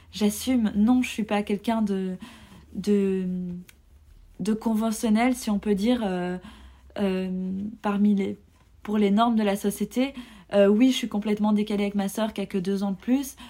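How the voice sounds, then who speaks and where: Somewhat breathy with a dark, mellow tone, a woman at medium pitch speaks in a monotone, flat intonation at a fairly slow pace with long, frequent pauses, in a very clean recording with a silent background. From Belgium. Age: 30s. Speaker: podcast guest sharing personal story. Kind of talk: personal testimony. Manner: hesitant, many fillers.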